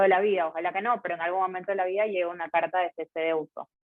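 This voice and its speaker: This woman talks at a fairly low pitch. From Ecuador, Guayaquil. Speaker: lawyer. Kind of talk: casual interview. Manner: conversational.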